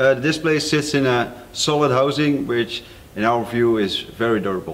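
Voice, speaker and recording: This man talks at a moderate pace. His pitch varies an ordinary amount. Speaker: product reviewer. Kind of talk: product review presentation. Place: studio.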